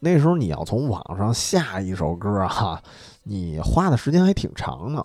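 With music playing in the background, a man talks at a moderate pace in a fairly low voice whose pitch swings very widely. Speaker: podcast host. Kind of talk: casual chat. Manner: soft-spoken.

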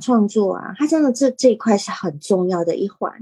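Fairly slow speech from a woman with a dark, mellow tone, fairly high pitch and very wide pitch swings, dry and close with no echo. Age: 50s. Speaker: teacher and podcaster. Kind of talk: casual chat.

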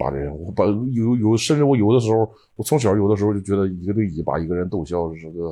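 A man's fairly low, dark, mellow voice at a very fast pace, with lively intonation, hardly any pauses and a quiet background. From Dalian, northeast China. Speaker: stand-up comedian. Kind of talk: casual interview chat.

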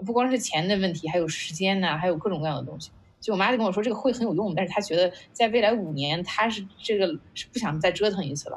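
A woman speaks at a very fast pace. She leaves hardly any pauses. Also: medium pitch for a woman, ordinary pitch variation. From China, Qingdao. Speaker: startup founder, former product manager. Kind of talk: casual interview conversation. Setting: online video call event.

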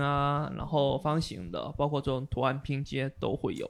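At a fairly slow pace, a man talks with fairly high pitch. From Xiamen, China. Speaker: brewer and beer judge. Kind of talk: casual chat.

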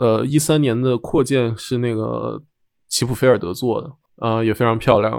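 With a normal speaking voice, a man talks at a moderate pace with ordinary pitch variation in a very clean recording with a silent background. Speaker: architect. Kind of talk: casual chat.

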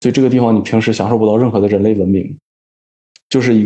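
A man speaks in a calm tone at a medium pitch. His intonation is monotone and flat. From Northeast China (Daqing). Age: 20s. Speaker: engineer working in Africa. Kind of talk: casual interview. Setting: remote call.

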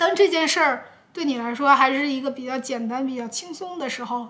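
Noticeable background noise under a woman's high-pitched voice with lively intonation. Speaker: YouTuber podcaster. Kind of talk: casual solo podcast answering viewer questions. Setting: recorded with a camera at home. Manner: hesitant, with many fillers. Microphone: camera audio, no microphone.

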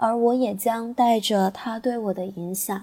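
Very slowly, a woman speaks in a dark, mellow tone that is somewhat breathy. Her pitch is fairly high and her intonation fairly even. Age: 20s. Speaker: teacher. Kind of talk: prepared personal reflection.

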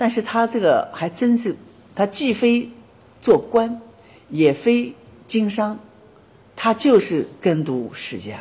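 At a very slow pace and with long, frequent pauses, a woman speaks in a fairly high pitch with very wide pitch swings. Her tone is dark and mellow, marked by vocal fry. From Shanghai, China. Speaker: documentary filmmaker of ancient villages. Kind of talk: interview.

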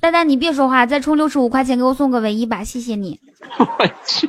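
A woman's high, animated voice at a moderate pace, with lively intonation. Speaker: livestream host. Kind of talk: casual chat. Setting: live stream.

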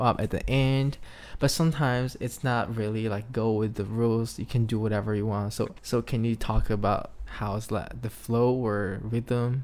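A man with a Chinese accent speaks at a medium pitch and a moderate pace, with fairly even intonation and hardly any pauses. The recording is very clean, with a silent background. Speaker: podcast host. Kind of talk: casual chat.

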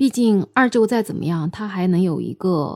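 A woman with a medium pitch and lively intonation, a plain, everyday voice, in a dry, close sound with no echo. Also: very clean recording, silent background. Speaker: podcast host. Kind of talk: storytelling monologue. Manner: casual, with fillers.

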